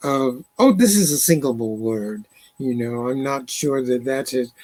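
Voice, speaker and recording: With an American accent and an unremarkable speaking voice, a man talks at a fairly slow pace and a fairly high pitch, the sound dry and close with no echo. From Alabama, US South. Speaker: poet and librettist. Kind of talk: interview conversation.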